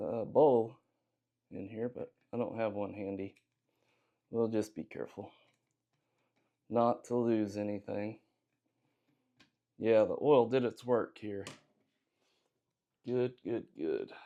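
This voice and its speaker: The speaker mumbles with a Southern US accent at a very slow pace. Long pauses come often, and the intonation is fairly even. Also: man, medium pitch for a man. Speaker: gunsmithing hobbyist youtuber. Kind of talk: tutorial. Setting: home workshop. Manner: mumbling; casual, hesitant with fillers.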